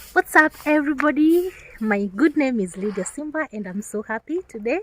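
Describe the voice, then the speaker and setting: The woman's pitch swings very widely, and the sound is dry and close with no echo. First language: not English. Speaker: content creator. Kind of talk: casual vlog chat.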